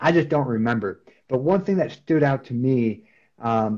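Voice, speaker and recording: A man's plain, everyday voice with an American accent, medium in pitch with ordinary variation, at a fairly slow pace. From Wisconsin, US Upper Midwest (Beaver Dam). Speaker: sales team manager. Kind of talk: casual interview.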